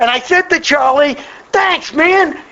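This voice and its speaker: A man speaks at a moderate pace in an animated tone with lively intonation, over noticeable background noise. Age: 60s. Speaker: AA speaker. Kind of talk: testimony.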